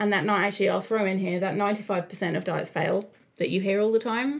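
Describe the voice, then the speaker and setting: A woman with an Australian accent talks at a very fast pace with medium pitch and ordinary pitch variation. Her loudness stays very even. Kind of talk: casual podcast monologue. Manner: conversational, filler words.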